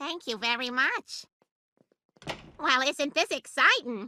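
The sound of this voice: A cartoonish character voice at a fairly slow pace. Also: female-sounding voice, high pitch for a woman.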